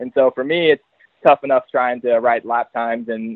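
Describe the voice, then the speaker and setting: At a fairly quick pace, a man speaks with an American accent. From Texas. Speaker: motocross team mechanic. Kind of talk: casual interview.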